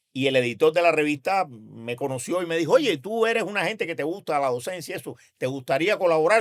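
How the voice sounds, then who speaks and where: A man talks at a very fast pace in a high pitch with lively intonation. The recording is very clean, with a silent background. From Cuba, Havana. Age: 70s. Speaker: physician and professor. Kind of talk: interview. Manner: energetic.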